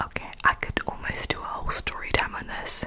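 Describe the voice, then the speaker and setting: A moderate-paced whisper against noticeable background noise. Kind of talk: ASMR whispered secret-telling ramble. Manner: close cupped whisper.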